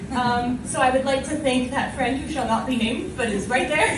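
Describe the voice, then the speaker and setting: Noticeable background noise sits behind a woman's voice. Her pitch is high and her intonation fairly even. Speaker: spoken word poet. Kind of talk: casual stage banter with audience. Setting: live open mic stage.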